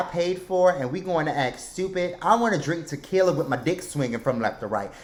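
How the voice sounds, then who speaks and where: Loud and animated, a man speaks at a fairly high pitch. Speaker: podcast host. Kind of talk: casual chat.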